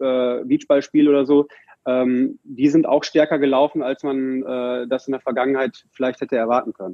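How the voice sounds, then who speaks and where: At a moderate pace, a man speaks in a monotone, flat way with a fairly high pitch. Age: 40s. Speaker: merchandising managing director of a football club. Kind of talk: podcast interview. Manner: hesitant with frequent fillers.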